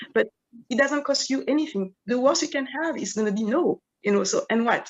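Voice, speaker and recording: A woman with a French accent speaks fairly quickly in a high pitch, her pitch swinging very widely. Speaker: event panel moderator. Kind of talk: panel discussion. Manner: hesitant, many fillers.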